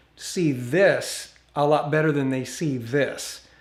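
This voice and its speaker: A man speaks with an American accent. There is audible echo from the room. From Northern California. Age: 60s. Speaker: YouTuber. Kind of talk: live stream chat. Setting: outdoors.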